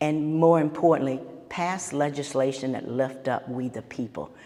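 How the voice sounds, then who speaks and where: A woman with an American accent speaks at a very deep, low pitch and a moderate pace, her intonation fairly even. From Amherst County, Virginia. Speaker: political candidate. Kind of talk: candidate forum speech.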